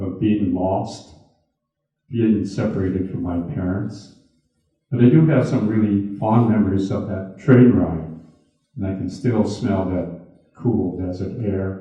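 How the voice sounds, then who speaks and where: In an American accent, a man with a fairly low pitch, ordinary pitch variation and a somewhat breathy voice speaks at a fairly slow pace with long, frequent pauses and audible room echo. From US Midwest, Milwaukee. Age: 80s+. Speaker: retired businessman and internment survivor speaker. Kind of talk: talk with audience Q&A. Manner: halting, with repeated words.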